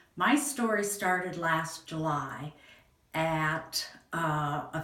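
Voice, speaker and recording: A woman with an American accent talks amid noticeable background noise and audible room echo. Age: 60s. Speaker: patient. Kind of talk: testimony. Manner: halting.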